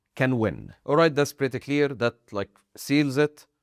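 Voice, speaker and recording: At a very slow pace, a man with a non-native accent speaks at a medium pitch, the sound dry and close with no echo. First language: not English. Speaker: anime video essayist. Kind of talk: video essay commentary.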